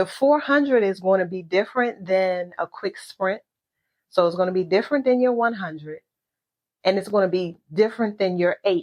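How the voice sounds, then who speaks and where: A woman's medium-pitched voice, with ordinary pitch variation, has a dry, close sound with no echo. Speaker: podcast host. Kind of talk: motivational talk. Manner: slow.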